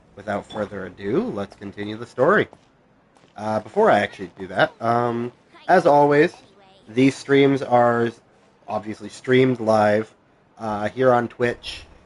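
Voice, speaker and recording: The speech comes at a fairly slow pace with long, frequent pauses, ordinary pitch variation and big swings in loudness. Noticeable background noise runs underneath. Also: man, medium pitch for a man. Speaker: gaming streamer. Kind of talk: live gameplay stream chat. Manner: casual with many fillers.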